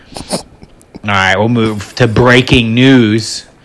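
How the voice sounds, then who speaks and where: At a very slow pace, a man with an American accent speaks at a fairly low pitch and fairly even intonation amid noticeable background noise. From US South. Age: 30s. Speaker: podcast host. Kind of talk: casual chat.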